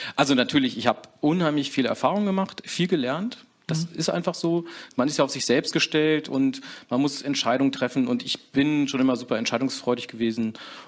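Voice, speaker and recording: A man's unremarkable speaking voice, with ordinary pitch variation, comes through a very clean recording with a silent background as he talks at a moderate pace. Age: 40s. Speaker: co-managing director of a trade business. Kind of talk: interview.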